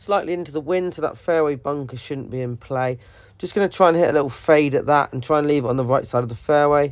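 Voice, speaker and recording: With a British accent, a man talks at a very fast pace, his fairly high pitch moving with ordinary variation. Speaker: golf vlogger. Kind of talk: voiceover commentary.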